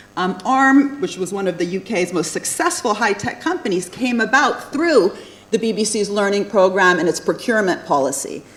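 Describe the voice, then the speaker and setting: A woman with an American accent speaks at a moderate pace, her pitch in the medium range with very wide swings. Noticeable background noise runs under her voice. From USA (born in Italy, moved at age five). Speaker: economics professor. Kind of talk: lecture.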